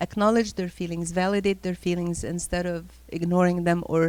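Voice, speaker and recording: A woman's fairly low voice, a plain, everyday voice, in a very clean recording with a silent background. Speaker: high school teacher giving a parenting talk. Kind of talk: parenting talk to a church group. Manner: conversational, with filler sounds.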